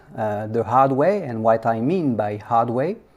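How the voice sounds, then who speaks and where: The voice carries a French accent. It moves at a fairly slow pace. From France. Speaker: software engineer and conference speaker. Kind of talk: conference talk. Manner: hesitant, many fillers.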